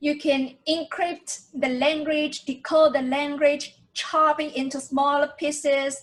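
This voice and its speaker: At a very slow pace, a woman speaks with a Chinese accent. Her pitch is high. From tropical island, Chinese-speaking. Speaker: language teacher. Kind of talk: tutorial.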